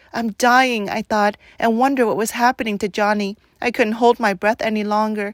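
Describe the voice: The intonation is fairly even in this plain reading aloud.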